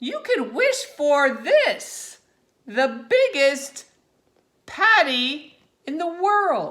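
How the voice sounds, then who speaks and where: A woman's put-on character voice, high in pitch, at a very slow pace with long, frequent pauses. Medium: read story.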